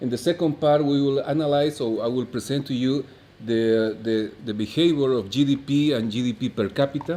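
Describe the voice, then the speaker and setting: Speaking at a fairly quick pace with a Bolivian accent, a man has a fairly high pitch and a dark, mellow tone. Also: ordinary pitch variation. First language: Spanish. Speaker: economist, conference speaker. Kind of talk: conference lecture. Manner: halting, many fillers.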